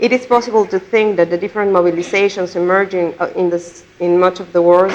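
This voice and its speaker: Her delivery is very fast. The woman's intonation remains fairly even throughout. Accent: Spanish. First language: Spanish. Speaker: conference speaker. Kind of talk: lecture read from a prepared text. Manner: reading aloud, some repetitions.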